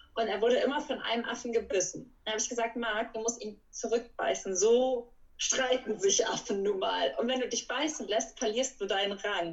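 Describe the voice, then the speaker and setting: Here is a woman with an ordinary speaking voice, pitched fairly high. She keeps a moderate pace with hardly any pauses and ordinary pitch variation. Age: 20s. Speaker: animal welfare worker for primates. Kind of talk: casual interview. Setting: video call.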